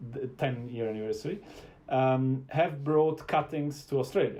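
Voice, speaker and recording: A man talks at a moderate pace with an Italian accent and a medium pitch. His voice is somewhat breathy, with ordinary pitch variation. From Italy. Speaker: wine show host. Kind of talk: interview. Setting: live-streamed video show.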